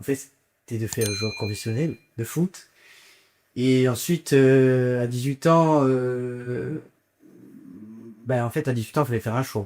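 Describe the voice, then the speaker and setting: Speaking at a very slow pace with long, frequent pauses, a man holds a medium pitch and fairly even intonation. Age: 20s. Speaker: business school student, former youth footballer. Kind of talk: interview testimony. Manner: hesitant, many fillers.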